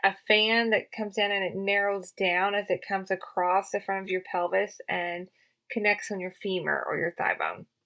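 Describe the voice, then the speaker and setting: A woman with a Southern US accent speaks at a moderate pace and medium pitch, her tone bright and sharp, her intonation fairly even, on a very clean recording, silent background. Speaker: podcast host, health and wellness practitioner for riders. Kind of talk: educational podcast talk. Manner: casual, with many fillers and repetitions.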